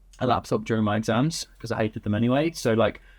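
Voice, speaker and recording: A man talks at a very fast pace. He has an English accent and a medium-pitched voice. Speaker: agency founder. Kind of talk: interview.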